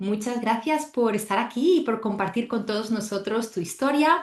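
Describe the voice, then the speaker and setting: A woman talks at a fairly slow pace in a fairly high, somewhat breathy voice. Her pitch swings very widely. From Spain. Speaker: podcast host and travel coach instructor. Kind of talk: podcast interview.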